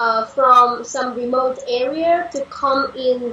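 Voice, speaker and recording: Over noticeable background noise, a woman speaks very slowly in a raised, projected voice, high in pitch with fairly even intonation. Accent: Vietnamese. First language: Vietnamese. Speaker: panel guest. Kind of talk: discussion. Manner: halting.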